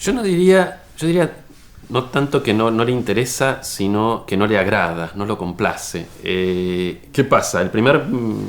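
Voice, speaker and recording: At a fairly slow pace, a man speaks at medium pitch with very wide pitch swings. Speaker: writer. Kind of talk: interview. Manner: halting.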